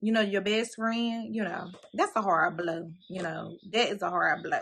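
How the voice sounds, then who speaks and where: A woman speaks in a fairly high, bright and sharp voice with an animated tone and ordinary pitch variation. The recording is very clean, with a silent background. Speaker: author discussing her book series. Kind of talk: casual book recap vlog. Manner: fast.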